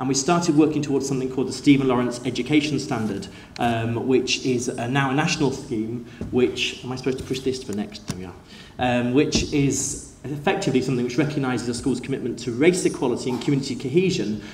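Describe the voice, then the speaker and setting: Over noticeable background noise and audible room echo, a man talks very fast at a medium pitch with ordinary pitch variation. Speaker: school teacher. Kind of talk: conference talk. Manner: hesitant, many fillers.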